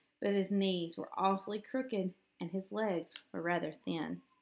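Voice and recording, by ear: A woman at medium pitch, fairly slow in pace, with ordinary pitch variation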